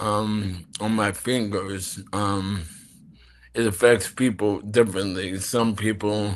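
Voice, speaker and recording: Very slow, monotone speech with flat intonation in an American accent over a quiet background. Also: man, fairly low pitch for a man. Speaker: actor. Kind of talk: interview. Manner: slow, halting.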